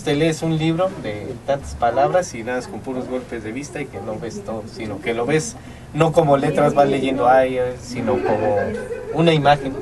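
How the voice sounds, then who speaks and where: A medium-pitched man at a moderate pace, with ordinary pitch variation, big swings in loudness and noticeable background noise. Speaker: radio announcer, show host. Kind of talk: casual talk show host.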